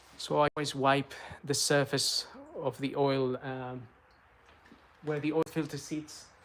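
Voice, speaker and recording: Noticeable background noise behind a man's fairly high, monotone, flat voice with long, frequent pauses. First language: Spanish. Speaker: car maintenance youtuber. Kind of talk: tutorial; casual chat. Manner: hesitant, many fillers.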